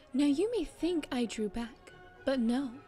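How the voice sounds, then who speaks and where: Music plays behind a woman whose delivery is fairly slow. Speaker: audiobook narrator. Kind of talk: dramatic literary reading of a classic short story.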